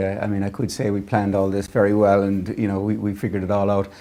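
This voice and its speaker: With an Irish accent, a man talks at a very fast pace. His voice is fairly low, with a dark, mellow tone. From Ireland. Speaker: tech business leader. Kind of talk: interview.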